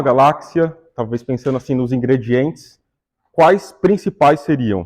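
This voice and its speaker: A man with a Brazilian accent, at a moderate pace. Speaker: astronomer giving public talk. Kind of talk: public lecture. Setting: stage with audience. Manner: casual, conversational.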